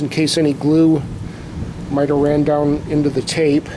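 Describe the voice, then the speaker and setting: Over noticeable background noise, a man speaks at a moderate pace in a fairly high pitch. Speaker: drum repair hobbyist. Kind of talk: tutorial. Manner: loud.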